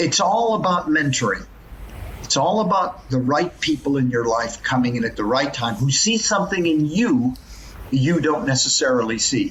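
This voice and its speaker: The man's voice sits fairly high and swings very widely in pitch. His loudness stays very even, and the background noise is noticeable. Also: moderate pace. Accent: American. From US West Coast, Los Angeles. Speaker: professor. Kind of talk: podcast interview.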